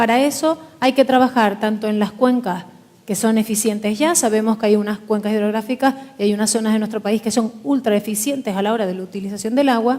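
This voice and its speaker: Fairly quick delivery with fairly even intonation over noticeable background noise. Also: woman, fairly high pitch for a woman. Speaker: politician. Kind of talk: panel forum speech. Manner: formal.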